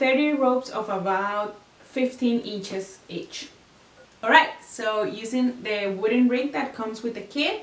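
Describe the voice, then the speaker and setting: A woman's fairly slow speech in a non-native accent, with ordinary pitch variation and audible room echo. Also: fairly high pitch for a woman. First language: not English. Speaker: craft tutorial maker; craft instructor. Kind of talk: tutorial. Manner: casual, hesitant with fillers. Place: home room.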